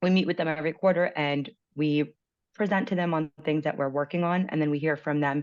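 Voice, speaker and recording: This woman has a very deep, low pitch and talks at a fairly quick pace. Her loudness stays very even against a quiet background. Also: ordinary pitch variation. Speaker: transit accessibility outreach coordinator. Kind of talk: presentation over video meeting. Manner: fast.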